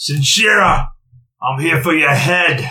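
Putting on a character voice, a man speaks raspy and fairly high at a fairly slow pace, with audible echo. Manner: menacing.

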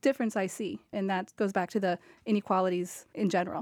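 In an American accent, a plain, everyday voice moves at a fairly quick pace with ordinary pitch variation, recorded very cleanly with a silent background and a dry, close sound with no echo. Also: woman. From Cape Cod, Massachusetts. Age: 20s. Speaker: financial underwriter. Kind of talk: radio panel discussion.

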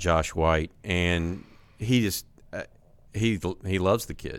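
A man with an American accent speaks in a very deep, low voice with ordinary pitch variation. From Texas, Houston. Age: 50s. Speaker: sports podcast host, recruiting journalist. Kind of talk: casual sports chat.

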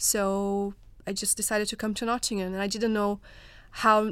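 A woman with a Portuguese accent speaks at a medium pitch and a moderate pace. The recording is very clean with a silent background. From Brazil. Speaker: research fellow. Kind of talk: panel discussion.

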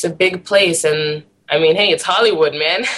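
A woman with an American accent, a very deep, low pitch and a moderate pace. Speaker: musician. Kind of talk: casual chat.

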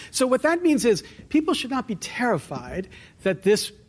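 A man speaks with lively intonation. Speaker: law professor and candidate. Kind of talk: political interview. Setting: studio with live audience. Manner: animated.

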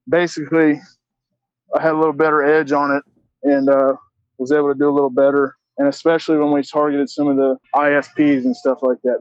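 At a fairly quick pace, a man speaks with a Southern US accent and a fairly high pitch. His intonation is monotone and flat, and his loudness very even. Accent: Southern US (Georgia). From US South, Augusta, Georgia. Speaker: former credit card fraudster. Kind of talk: interview. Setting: phone call. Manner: halting.

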